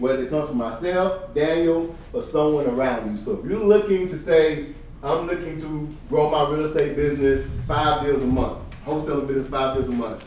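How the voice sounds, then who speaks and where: Fairly high in pitch and animated in tone, a man speaks at a fairly quick pace with ordinary pitch variation, amid audible room echo and noticeable background noise. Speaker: real estate coach / event speaker. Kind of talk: seminar talk. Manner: fast.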